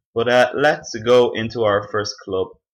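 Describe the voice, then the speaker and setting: A man with an Irish accent against a quiet background. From Ireland. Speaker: gaming youtuber. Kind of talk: gameplay commentary. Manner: casual, halting with fillers.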